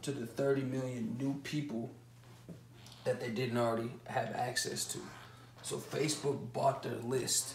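With audible room echo and light background noise, a man speaks at a fairly slow pace. His intonation is monotone and flat. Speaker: online business educator. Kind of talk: lecture. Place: home room. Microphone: camera far.

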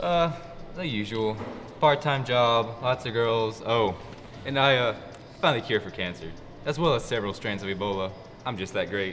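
With light background noise, a man speaks at a moderate pace, taking long, frequent pauses. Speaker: actor in student film. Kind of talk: scripted film dialogue. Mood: joking, boastful. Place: cafe.

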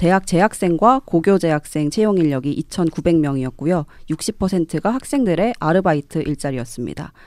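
A woman's fairly low voice at a fairly slow pace with lively intonation and hardly any pauses, dry with no echo against a quiet background. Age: young. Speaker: young politician, local election candidate; young politician, election candidate. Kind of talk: radio panel discussion. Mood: calm, earnest. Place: studio. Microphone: studio mic.

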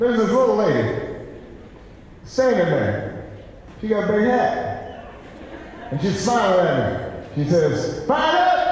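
A high-pitched man speaks with an American accent. He talks at a fairly slow pace amid strong room echo. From United States. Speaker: politician. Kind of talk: campaign speech anecdote. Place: hall.

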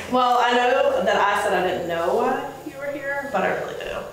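A woman talks at a moderate pace amid light background noise. Strong room echo fills the recording. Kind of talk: award presentation speech. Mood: warm, appreciative, a little nervous. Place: meeting room.

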